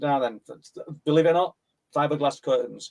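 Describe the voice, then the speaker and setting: In a Yorkshire accent, a man talks at a fairly quick pace with a fairly high pitch and fairly even intonation. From northern England, South Yorkshire (Mexborough area). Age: 60s. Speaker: paranormal researcher and author. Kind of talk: interview, personal testimony.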